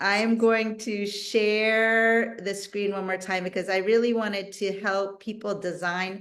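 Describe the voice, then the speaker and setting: A woman with a normal speaking voice talks at a fairly slow pace, with medium pitch and fairly even intonation. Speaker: physical therapist. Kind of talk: exercise instruction on video call. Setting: video call.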